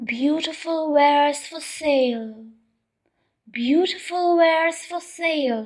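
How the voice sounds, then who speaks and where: Putting on a character voice, a woman speaks high and fairly slow with ordinary pitch variation. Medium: read story. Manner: wheedling, deceitful.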